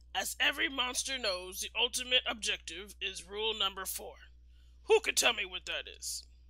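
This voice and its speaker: The delivery is a put-on character voice. It moves at a moderate pace. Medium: read story. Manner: formal, instructive.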